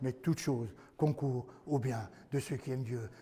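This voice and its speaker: A man's somewhat breathy voice, dark and mellow in tone, at a medium pitch and moderate pace with ordinary pitch variation. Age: 70s. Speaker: pastor. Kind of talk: sermon. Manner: animated.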